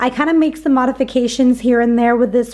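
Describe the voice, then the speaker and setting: A woman talks in an upbeat tone. Her high voice moves with ordinary pitch variation. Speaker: grocery haul vlogger. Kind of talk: casual vlog show-and-tell. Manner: chatty, upbeat.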